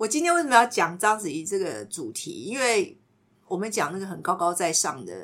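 A woman's medium-pitched voice with vocal fry, very wide pitch swings and big swings in loudness. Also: moderate pace. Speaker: podcast host and counselor-style teacher. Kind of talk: casual chat with light counseling.

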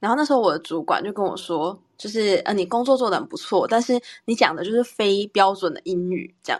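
A woman has a normal speaking voice at a medium pitch. She talks at a fairly quick pace with lively intonation. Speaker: podcast co-host, teacher. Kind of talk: casual chat.

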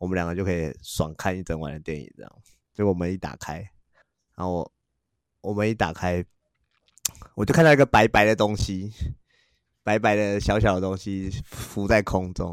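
Over a silent background on a very clean recording, a man with a very deep, low pitch talks at a fairly quick pace with ordinary pitch variation. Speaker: podcast host. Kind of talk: casual chat.

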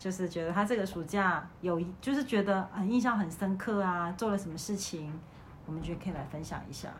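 A woman's somewhat breathy, medium-pitched voice at a fairly quick pace, with ordinary pitch variation and audible room echo. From Malaysia. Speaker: podcast host, teacher. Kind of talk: casual chat.

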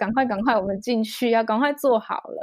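On a very clean recording with a silent background, a woman with a Taiwanese accent speaks at a fairly high pitch and a fairly quick pace. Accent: Taiwanese Mandarin. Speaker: children's storyteller and mother. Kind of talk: interview conversation.

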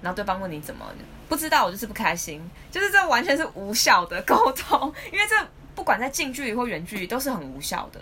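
A woman with a Taiwanese accent at a very fast pace, fairly high in pitch, with very wide pitch swings, big swings in loudness and noticeable background noise. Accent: Taiwanese Mandarin. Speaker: podcast co-host. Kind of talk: casual chat. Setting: home recording.

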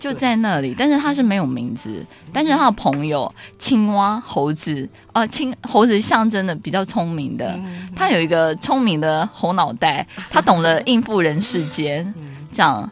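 The speech moves at a fairly slow pace. Its pitch swings very widely. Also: woman, medium pitch for a woman. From Taiwan, Keelung. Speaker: author. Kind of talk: interview about her writing.

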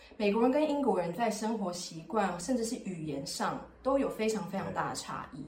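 A woman's lively intonation carries at a fairly quick clip above noticeable background noise. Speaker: podcast host. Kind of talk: casual chat.

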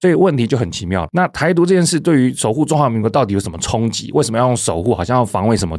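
The speaker talks at a very fast pace in a Taiwanese accent, with very wide pitch swings. The recording is very clean, the background silent. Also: man. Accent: Taiwanese Mandarin. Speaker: podcast host, legal website editor. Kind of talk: solo explanatory commentary. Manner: conversational with frequent filler particles.

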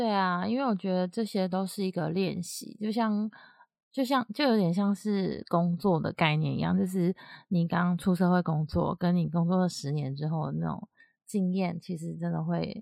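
Over a very clean recording with a silent background, a woman speaks at a moderate pace. Her pitch is fairly low, with ordinary pitch variation. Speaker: podcast co-host. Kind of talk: casual chat.

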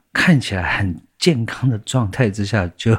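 On a very clean recording with a silent background, a man with a fairly low voice speaks with lively intonation. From Taiwan, Taipei. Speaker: singer-songwriter. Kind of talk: interview.

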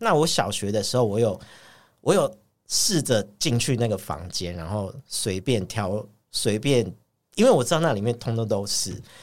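Using a normal speaking voice, a man talks at a medium pitch and a moderate pace with lively intonation. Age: 40s. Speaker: podcast co-host. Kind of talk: casual chat.

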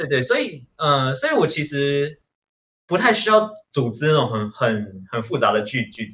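This man talks at a moderate pace, his fairly high pitch moving in very wide swings. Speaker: stand-up comedian. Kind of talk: casual chat. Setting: online recording. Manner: halting.

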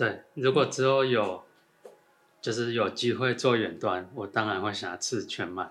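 Delivery is at a fairly slow pace. It is an ordinary speaking voice, and the pitch varies in an ordinary way. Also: man, medium pitch for a man. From Thailand and Taiwan. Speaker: rock climbing coach. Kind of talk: casual chat.

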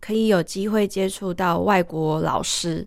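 In a very clean recording with a silent background, a woman speaks with a Taiwanese accent. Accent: Taiwanese Mandarin. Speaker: ballet dancer. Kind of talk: interview.

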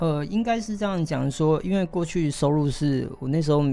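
This man's dark, mellow tone carries lively intonation at a moderate pace. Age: 40s. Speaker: tech company chairman and former actor. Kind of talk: interview.

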